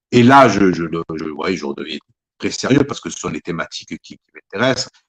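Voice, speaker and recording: At a fairly quick pace, a man with a fairly low pitch talks with very wide pitch swings and big swings in loudness. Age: 60s. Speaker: author. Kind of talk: interview. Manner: halting, many repetitions.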